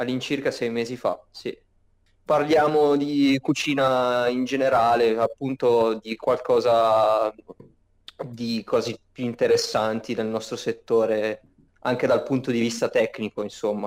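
An unremarkable speaking voice at a fairly slow pace, with fairly even intonation. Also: man, medium pitch for a man. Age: 20s. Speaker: cook, meme page admin. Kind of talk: casual chat.

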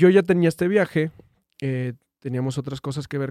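Dry and close with no echo, the recording holds a man's medium-pitched voice in a dark, mellow tone. He talks at a moderate pace with ordinary pitch variation. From Durango, Mexico. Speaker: viral internet personality. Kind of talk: casual chat. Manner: halting.

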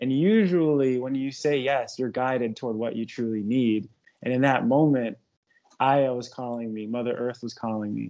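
A man at medium pitch talks at a moderate pace with fairly even intonation in an unremarkable speaking voice. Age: 30s. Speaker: holistic wellness therapist and personal trainer. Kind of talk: casual chat.

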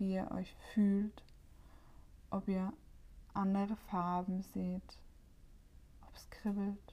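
A woman's dark, mellow, gentle, warm voice at medium pitch, somewhat breathy, with monotone, flat intonation and a very slow pace. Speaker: meditation guide and podcast host. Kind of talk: guided meditation. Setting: solo home recording, no guest. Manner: calm, slow and soothing, with long pauses between instructions; gentle, warm and inviting.

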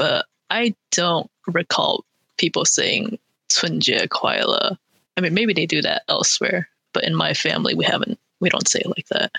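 A woman with an American accent at a moderate pace, very even in loudness, in a dry, close sound with no echo. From California, Bay Area. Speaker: podcast producer. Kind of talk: casual chat.

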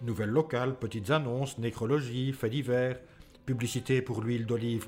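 Music plays in the background behind a man with a medium pitch. He talks at a moderate pace with fairly even intonation. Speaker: podcast co-host and narrator. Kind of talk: scripted narration of 1940 wartime newspaper text, read aloud. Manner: formal, solemn, measured.

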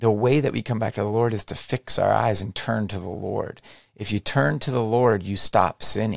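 Captured in a very clean recording with a silent background and a dry, close sound with no echo, a man speaks at a moderate pace in a fairly low pitch, with ordinary pitch variation and vocal fry. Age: 40s. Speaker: podcast host. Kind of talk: solo religious monologue. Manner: hesitant, many fillers.

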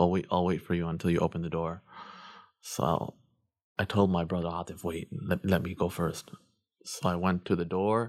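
Here a man with a Chicago-area accent speaks at a fairly quick pace. His voice is very deep and low, with monotone, flat intonation. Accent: Chicago-area American English. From Chicago suburbs, Illinois. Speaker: imam. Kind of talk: casual interview.

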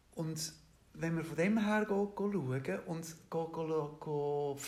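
Audible room echo surrounds a man whose voice sits fairly high. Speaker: interviewee. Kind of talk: interview. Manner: hesitant, many fillers.

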